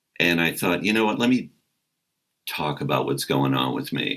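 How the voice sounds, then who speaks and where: A man with a Midwestern American accent has a booming, very deep and low voice with a bright, sharp tone, vocal fry, very wide pitch swings, and a moderate pace. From American Midwest. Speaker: comedian and voice actor. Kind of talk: interview answer.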